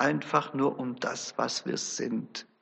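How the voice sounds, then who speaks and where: A man is speaking. His pace is very slow. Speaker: preacher. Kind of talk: sermon. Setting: church. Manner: earnest, formal; measured, storytelling.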